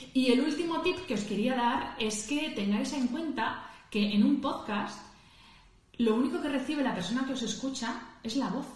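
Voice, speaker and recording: Noticeable background noise fills the clip, and audible room echo can be heard as well. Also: woman, high pitch for a woman, ordinary pitch variation. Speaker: podcaster. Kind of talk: instagram live talk. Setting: livestream. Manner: fast; natural, conversational.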